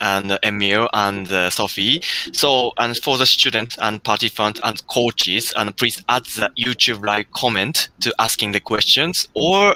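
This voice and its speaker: In a Japanese accent, a man speaks at a fairly low pitch with a bright, sharp tone, a fairly slow pace and hardly any pauses. His loudness stays very even, and the sound is dry and close with no echo. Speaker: workshop host. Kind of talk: live stream interview hosting. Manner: halting.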